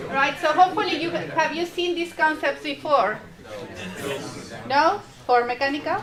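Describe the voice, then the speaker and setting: Someone with a Spanish accent talks at a moderate pace with long, frequent pauses, with noticeable background noise and audible echo in the room. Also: woman, high pitch for a woman, ordinary pitch variation. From Mexico. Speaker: university lecturer. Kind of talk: lecture.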